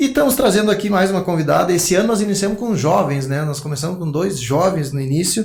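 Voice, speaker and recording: Speaking at a very fast pace with hardly any pauses, a man uses a high pitch and lively intonation. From Rio Grande do Sul, Brazil (Quaraí). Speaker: podcast host and business mentor. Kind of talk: interview podcast.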